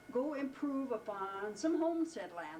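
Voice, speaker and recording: Background noise is noticeable and the room echo is audible as a woman speaks at a fairly high pitch. Her pitch swings very widely, and her pace is fairly slow. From Wyoming. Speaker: family elder interviewed about family history. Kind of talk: casual family interview. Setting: at home.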